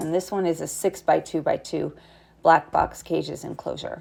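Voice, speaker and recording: A woman speaks in a fairly low pitch with a dark, mellow tone and vocal fry. Her intonation is monotone and flat. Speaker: animal sanctuary behavior educator. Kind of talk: educational narration over video.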